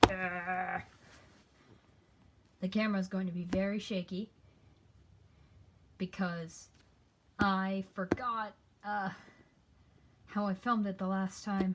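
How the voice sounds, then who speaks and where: A woman speaks very slowly in a somewhat breathy, monotone voice, with long, frequent pauses. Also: medium pitch for a woman. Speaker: hobby artist. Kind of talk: casual talk to camera, sketchbook tour.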